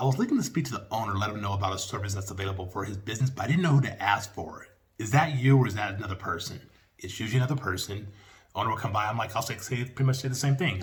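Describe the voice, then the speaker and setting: A man of medium pitch talks at a very fast pace, his voice somewhat breathy. His pitch variation is ordinary. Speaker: small business sales trainer. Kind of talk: tutorial with sales pitch role-play. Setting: video call.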